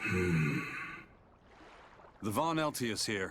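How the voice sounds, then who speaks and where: This man speaks in a put-on character voice. His pitch is medium. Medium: video game. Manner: terse, dry.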